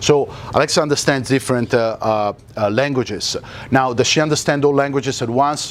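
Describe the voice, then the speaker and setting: This speaker has a non-native accent and talks at a moderate pace with ordinary pitch variation. Noticeable noise sits in the background. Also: man. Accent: foreign. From Italy. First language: Italian. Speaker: tech company speaker. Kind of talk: Q&A at a meetup. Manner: hesitant, many fillers.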